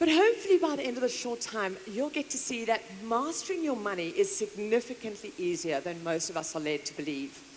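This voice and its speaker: A woman with a fairly high pitch talks in an animated tone at a fairly quick pace, her pitch swinging very widely with hardly any pauses over noticeable background noise. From South Africa, KwaZulu-Natal. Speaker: motivational speaker and author. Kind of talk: conference keynote speech. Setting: stage with audience.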